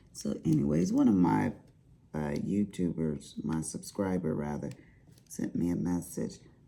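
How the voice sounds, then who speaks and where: Moderately paced speech from a woman in a Southern US accent. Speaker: crafting YouTuber. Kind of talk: casual chat.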